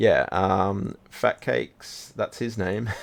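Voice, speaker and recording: A man with an Australian accent and fairly low pitch. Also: quiet background. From Australia, Sydney. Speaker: game streamer. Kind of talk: casual live stream chat. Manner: relaxed, chill.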